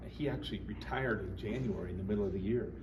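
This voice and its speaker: A man with an American accent is heard amid audible room echo, with noticeable background noise as well. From Colorado. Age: 60s. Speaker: band teacher. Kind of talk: interview. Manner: casual, halting with fillers.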